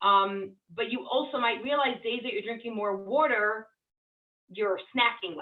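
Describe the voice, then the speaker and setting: With an unremarkable speaking voice, a woman talks at a moderate pace and fairly high pitch with ordinary pitch variation. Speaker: weight loss coach. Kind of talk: group coaching session.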